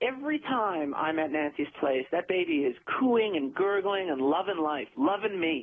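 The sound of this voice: Using a put-on character voice, a man speaks at a moderate pace with high pitch, lively intonation and a slightly husky edge.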